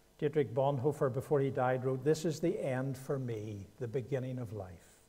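With a Northern Irish accent, a man speaks at a moderate pace and medium pitch, his somewhat breathy voice dark and mellow in tone with ordinary pitch variation. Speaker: guest preacher. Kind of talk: sermon. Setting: church.

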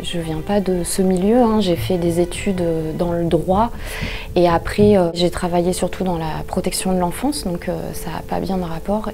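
At a fairly slow pace, a woman speaks with a fairly low pitch and fairly even intonation over faint music in the background. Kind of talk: interview answer. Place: office.

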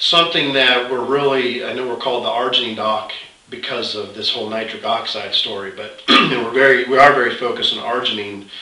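A man at a fairly quick pace, fairly even in intonation, with audible room echo. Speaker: host of a health product site. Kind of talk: conversational update, promotional talk. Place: office. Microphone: camera far.

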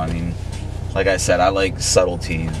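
Over music in the background, a man with a very deep, low pitch talks at a fairly quick pace in a dry sound with no echo. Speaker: interviewee. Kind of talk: interview answer. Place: car. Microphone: camera far.

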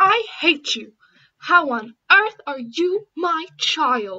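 A put-on character voice that sounds female speaks at a very slow pace in an extremely high pitch. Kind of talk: voice acting audition. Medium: voice reel.

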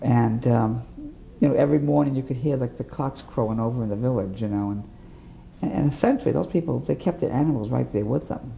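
In an American accent, this is a normal speaking voice. Intonation is lively and the pace fairly quick. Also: man, medium pitch for a man. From US Northeast (Boston area, Massachusetts). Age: 50s. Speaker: war veteran. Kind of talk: oral history interview.

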